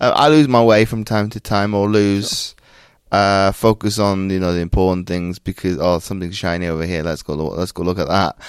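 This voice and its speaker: A man with an American accent speaks at a fairly quick pace, his pitch fairly low. His pitch variation is ordinary, and the recording is very clean with a silent background. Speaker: Paralympian and mindset coach. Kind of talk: interview conversation. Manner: halting, many repetitions.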